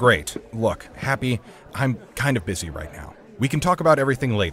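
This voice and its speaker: A man puts on a character voice at a fairly quick pace. Clear background noise runs underneath. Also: medium pitch for a man. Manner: brisk, impatient.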